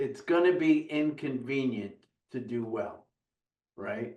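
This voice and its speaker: This man talks at a very slow pace. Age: 60s. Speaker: business coach guest. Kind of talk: casual interview chat.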